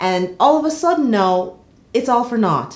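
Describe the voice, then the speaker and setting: In a Jamaican accent, the speaker has an animated tone at a moderate pace. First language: Jamaican Patois. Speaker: soap opera commentator. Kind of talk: casual vlog commentary.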